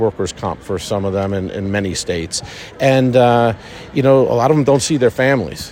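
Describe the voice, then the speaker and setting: Over noticeable background noise, a man with a New York accent speaks with lively intonation. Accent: New York American. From New York, Long Island. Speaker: orthopedic surgeon and medical director. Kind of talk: interview. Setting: racecourse.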